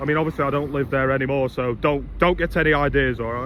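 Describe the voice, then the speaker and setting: A man with an East Midlands accent talks in a fairly high pitch over noticeable background noise. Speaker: vlogger. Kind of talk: casual vlog. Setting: outdoors.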